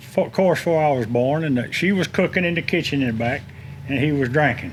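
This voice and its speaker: Very fast speech from a man with a Florida accent, fairly high in pitch, with ordinary pitch variation. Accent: Southern US (Florida). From Tampa, Florida. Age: 60s. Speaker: shipyard worker. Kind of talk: casual chat.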